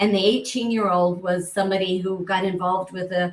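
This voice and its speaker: A woman with an American accent talks in a monotone, flat intonation while noticeable background noise continues. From US rural ranching community. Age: 70s. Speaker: author and abuse survivor. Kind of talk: interview testimony.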